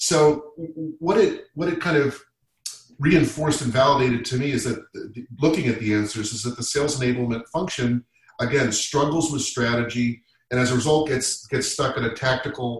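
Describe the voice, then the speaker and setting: A man with an American accent and a normal speaking voice, medium pitch, ordinary pitch variation, and a moderate pace. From Massachusetts. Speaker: sales leader. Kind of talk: panel discussion.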